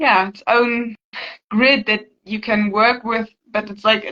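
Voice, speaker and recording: This woman speaks with a German accent at a fairly slow pace. Her pitch sits fairly high, and her intonation stays fairly even. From Germany. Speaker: healing practitioner, channel owner. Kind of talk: casual interview conversation. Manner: halting, repeats words.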